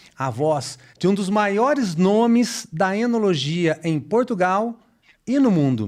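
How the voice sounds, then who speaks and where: Speaking fairly slowly, a man swings his pitch very widely against a quiet background. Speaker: sommelier, podcast host. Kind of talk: podcast intro.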